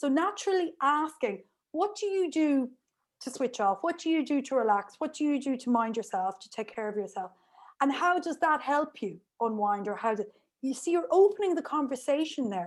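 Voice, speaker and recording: A woman with an Irish accent speaks at a high pitch and a fairly quick pace, her voice making very wide pitch swings. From Ireland. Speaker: remote work specialist and lecturer. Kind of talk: interview. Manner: fast.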